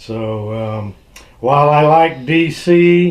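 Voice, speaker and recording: This man's voice sits fairly high in pitch and varies in pitch by an ordinary amount. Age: 60s. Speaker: YouTuber, radio repair hobbyist. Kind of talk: casual tag video monologue. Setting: home hobby room.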